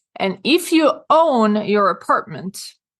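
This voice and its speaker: The woman's voice is fairly high in pitch, and the background is quiet. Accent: Swedish. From rural Sweden. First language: Swedish. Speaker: real estate consultant and author. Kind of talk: interview.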